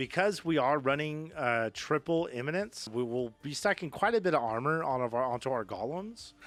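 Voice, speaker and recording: With a Texas accent, a man speaks at a moderate pace and fairly high pitch, his intonation lively. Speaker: gaming youtuber. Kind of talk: tutorial. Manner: many fillers (um, uh); casual, upbeat.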